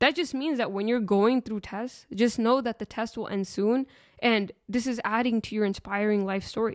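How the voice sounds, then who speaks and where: On a very clean recording with a silent background, a woman talks at a moderate pace in a plain, everyday voice, her fairly high pitch showing ordinary variation. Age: late 20s. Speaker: podcast host. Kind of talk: solo podcast talk on faith and self-development.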